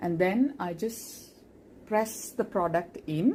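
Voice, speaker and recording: A woman speaks with a Keralan accent. Her pitch sits fairly low. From India (Kerala). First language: Malayalam. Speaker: makeup tutorial creator, doctor. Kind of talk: makeup tutorial; casual aside.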